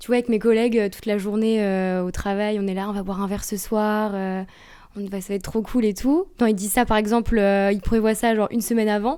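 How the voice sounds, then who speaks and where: Talking at a fairly quick pace, a woman with a fairly high pitch and a dark, mellow tone keeps a monotone, flat intonation while her loudness swings widely. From rural France. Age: 20s. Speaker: intern, lighting sales advisor. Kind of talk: casual chat. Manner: fast; hesitant, loses words.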